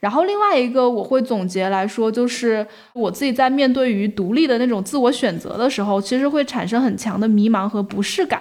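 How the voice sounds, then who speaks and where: In a plain, everyday voice, a woman with a fairly high pitch and ordinary pitch variation speaks at a fairly quick pace with hardly any pauses. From Guangxi, China. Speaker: podcast host, editor. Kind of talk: casual interview chat.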